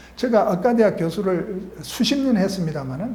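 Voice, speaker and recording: In a room with audible echo, a man talks at a moderate pace and a high pitch that swings very widely. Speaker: retired medical professor and author. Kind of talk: talk / lecture-style monologue. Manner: halting, many fillers.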